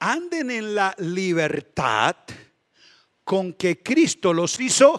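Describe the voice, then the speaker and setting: Recorded in a dry, close sound with no echo, a man speaks at a very slow pace in a high pitch with very wide pitch swings. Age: 60s. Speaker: pastor. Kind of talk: sermon. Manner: animated.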